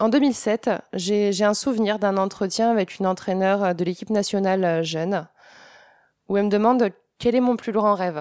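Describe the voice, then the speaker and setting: Intonation stays fairly even as a woman speaks at a medium pitch. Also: quiet background. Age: 20s. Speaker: former Olympic synchronized swimmer, sports shop salesperson. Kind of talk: interview. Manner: hesitant, many fillers.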